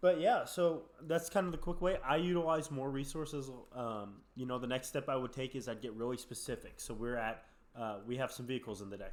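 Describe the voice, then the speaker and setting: An unremarkable speaking voice from a man, at a moderate pace with lively intonation. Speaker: podcast co-host. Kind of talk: casual podcast chat.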